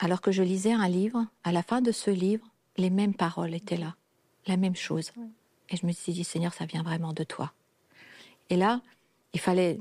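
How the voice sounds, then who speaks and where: On a very clean recording with a silent background and a dry, close sound with no echo, a woman at medium pitch speaks at a moderate pace with long, frequent pauses, in a dark, mellow, somewhat breathy tone with fairly even intonation. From a communist country. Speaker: guest sharing personal story. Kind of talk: testimony.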